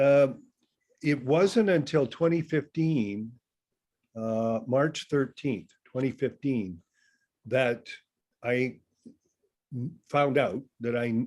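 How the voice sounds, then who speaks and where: A man at a very slow pace, with long, frequent pauses and ordinary pitch variation. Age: 60s. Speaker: class participant. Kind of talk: casual chat. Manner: halting.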